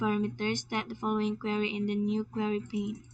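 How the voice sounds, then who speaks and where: The speaker is a woman. She talks with a Filipino accent. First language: Tagalog. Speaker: student presenting class assignment. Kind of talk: screen-recorded tutorial. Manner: halting, repeats words.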